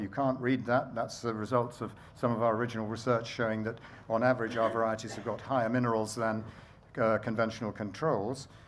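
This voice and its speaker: Monotone, flat intonation from a man at medium pitch and a fairly quick pace, with audible room echo. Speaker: baker and bread campaigner. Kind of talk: conference talk. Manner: fast; halting.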